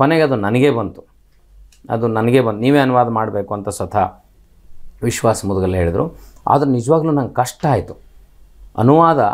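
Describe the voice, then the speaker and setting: This is a man with an ordinary speaking voice. His intonation is lively against a quiet background. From northern Karnataka, India (Koppal district); Karnataka, India. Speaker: writer and college principal. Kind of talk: interview. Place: studio. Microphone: lapel.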